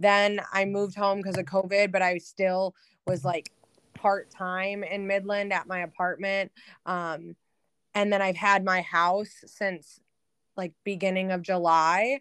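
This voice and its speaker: The speech comes in an American accent at a fairly slow pace. Intonation stays monotone and flat. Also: woman, medium pitch for a woman. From Michigan, outer Metro Detroit. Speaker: business analyst. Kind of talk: casual interview.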